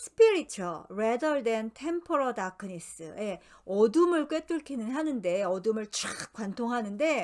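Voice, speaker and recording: With very wide pitch swings, a woman speaks very slowly in a fairly high pitch. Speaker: tarot book reading lecturer. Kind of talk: lecture.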